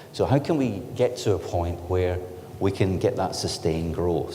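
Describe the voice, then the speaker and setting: A man with a Scottish accent speaks at a moderate pace, with audible room echo and noticeable background noise. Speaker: technology company director giving industry presentation. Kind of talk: conference presentation.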